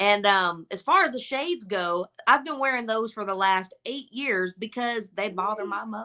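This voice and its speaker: A woman talks at a moderate pace with a medium pitch and hardly any pauses. Her tone is bright and sharp, and her intonation is lively. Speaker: singer, talent show contestant. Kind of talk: interview.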